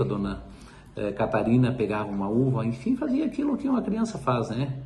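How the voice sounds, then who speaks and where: A man talking at a fairly quick pace with audible room echo. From Braga, Rio Grande do Sul, Brazil. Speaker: local resident. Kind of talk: oral history interview.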